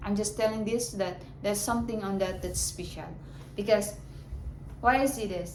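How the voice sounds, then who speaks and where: With noticeable background noise and audible room echo, a woman in a Filipino accent speaks with ordinary pitch variation. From Philippines. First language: Filipino language. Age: 30s. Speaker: vlogger. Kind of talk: casual monologue to camera. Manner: halting.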